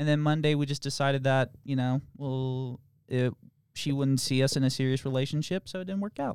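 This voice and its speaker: In a very clean recording with a silent background, a man with a fairly high pitch speaks at a fairly quick pace in an ordinary speaking voice. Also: fairly even intonation, dry, close sound with no echo. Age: 20s. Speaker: podcast co-host. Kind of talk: casual chat. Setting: studio.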